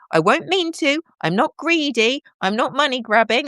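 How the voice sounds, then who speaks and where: At a moderate pace, the speaker sounds animated, with very wide pitch swings, on a very clean recording with a silent background and a dry, close sound with no echo. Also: woman. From southern England, home counties. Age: 50s. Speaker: live streamer. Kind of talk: casual live-stream chat. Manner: halting.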